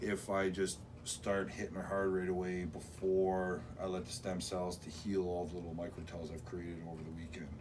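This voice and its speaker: Over noticeable background noise, a man with a very deep, low voice speaks at a moderate pace. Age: 40s. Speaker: arm wrestler and vlogger. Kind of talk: vlog narration; casual interview chat. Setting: outdoors in a park. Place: home room. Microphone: camera far.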